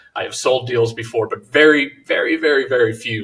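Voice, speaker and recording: The man speaks at a very fast pace. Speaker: real estate investor. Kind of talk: podcast interview.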